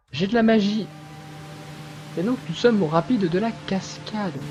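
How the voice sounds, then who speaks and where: A man at a fairly slow pace. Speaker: gaming let's player. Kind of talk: let's play commentary. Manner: calm, quiet voice; hesitant, many fillers. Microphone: voice may be too quiet against game.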